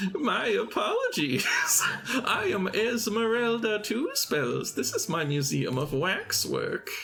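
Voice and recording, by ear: A man puts on a character voice. He speaks at a fairly slow pace over clear background noise.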